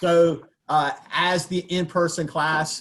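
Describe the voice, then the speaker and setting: A man with a Southern US accent. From US South. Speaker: baking instructor. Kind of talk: lecture. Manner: casual, with many fillers.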